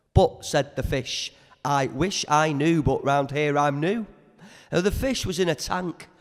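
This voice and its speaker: In a Liverpool accent, a man talks at a fairly slow pace with lively intonation. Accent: Liverpool (Scouse). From Merseyside. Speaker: spoken word poet. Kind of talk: poetry performance. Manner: energetic.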